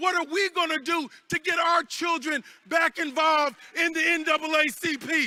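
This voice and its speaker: Raising and projecting his voice, a man speaks at an extremely high pitch in a bright, sharp tone, at a moderate pace with fairly even intonation. The sound is dry and close, with no echo. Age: 60s. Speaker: congressman. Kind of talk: convention speech. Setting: stage with audience. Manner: rousing.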